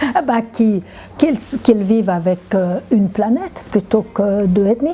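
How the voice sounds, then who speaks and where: A woman at a fairly slow pace, fairly high in pitch, with ordinary pitch variation and noticeable background noise. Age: 70s. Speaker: climate activist. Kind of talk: interview. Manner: halting, many repetitions.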